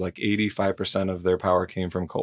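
On a very clean recording with a silent background, a man speaks in a very deep, low voice with monotone, flat intonation. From South Dakota, Sioux Falls area. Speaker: utility electrification manager. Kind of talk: casual interview.

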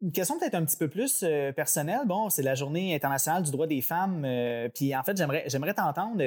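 Speaking at a fairly quick pace with a Quebec accent, this voice shows ordinary pitch variation. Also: man. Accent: Québécois French. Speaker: podcast host, transit company employee. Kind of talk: interview. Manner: halting.

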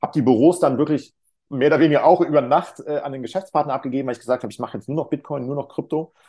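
A man's fairly high, dark, mellow voice at a very fast pace, with fairly even intonation and big swings in loudness, over a quiet background. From Cologne area, western Germany. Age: 40s. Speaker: crypto mentor and financial advisor. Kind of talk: podcast interview. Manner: hesitant with fillers.

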